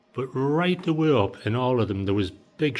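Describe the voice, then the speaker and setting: A man with a Teesside accent talks at a moderate pace with lively intonation. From Teesside, England. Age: 60s. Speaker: DIY house renovator. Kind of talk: casual talk to camera, walkthrough.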